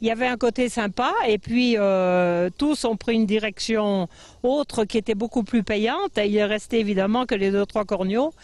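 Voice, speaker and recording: A woman speaks at a moderate pace in a fairly high pitch, with ordinary pitch variation and very even loudness. It is a normal speaking voice over a quiet background. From French Alps, Tarentaise (Savoie). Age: 60s. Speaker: mountain farmer. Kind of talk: interview. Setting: outdoors.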